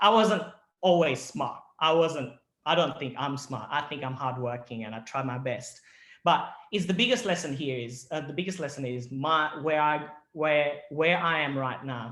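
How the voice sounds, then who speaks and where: A man with a slight Australian accent talks at a moderate pace and a fairly high pitch. His tone is bright and sharp, with ordinary pitch variation. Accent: slightly picked-up Australian. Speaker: ENT surgeon giving a talk to students. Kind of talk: presentation to students. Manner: halting, many restarts.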